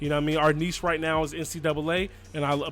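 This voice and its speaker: Music plays in the background as the speaker goes at a very fast pace in an American accent. The intonation is fairly even. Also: man. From New Jersey. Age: 30s. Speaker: gaming YouTuber. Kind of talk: Q&A video monologue. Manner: monotone.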